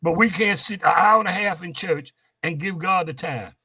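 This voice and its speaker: A man speaks in a raised, projected voice at high pitch. The tone is bright and sharp, with ordinary pitch variation. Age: old. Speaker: gospel quartet musician. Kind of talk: interview. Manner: animated.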